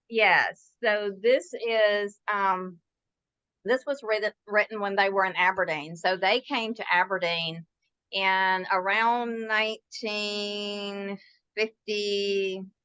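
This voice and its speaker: With a Southern accent, a woman talks at a medium pitch and fairly even intonation, her tone bright and sharp, the sound dry and close with no echo against a quiet background. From US South, Mississippi. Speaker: author. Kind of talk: interview.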